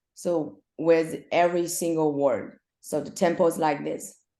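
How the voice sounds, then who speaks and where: A woman with a Chinese accent, fairly low in pitch with a dark, mellow tone, over a quiet background. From China. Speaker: swim coach, former elite swimmer. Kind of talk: casual interview. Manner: halting.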